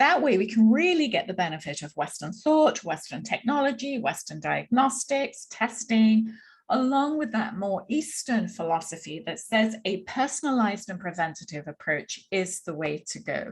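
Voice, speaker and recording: With a slight English accent, a woman talks at a moderate pace and a fairly high pitch, her voice somewhat breathy, her pitch swinging very widely, and hardly any pauses breaking her speech. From London, England. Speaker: Ayurveda practitioner. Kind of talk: workshop presentation.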